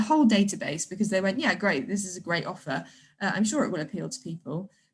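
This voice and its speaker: At a very fast pace, a woman speaks in a somewhat breathy voice at a medium pitch with ordinary pitch variation over a quiet background. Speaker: theatre marketing director. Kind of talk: online talk / webinar. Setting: livestream video call.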